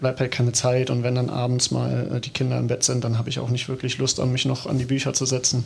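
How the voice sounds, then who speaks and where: This male speaker moves fairly briskly. His voice lands at a medium pitch. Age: 30s. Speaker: footballer. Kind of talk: casual chat.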